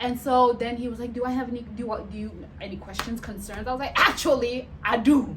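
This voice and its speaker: Loud and animated, a woman talks at a fairly quick pace with a high pitch, against noticeable background noise and audible room echo. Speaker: vlogger and nurse. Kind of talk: casual storytelling vlog.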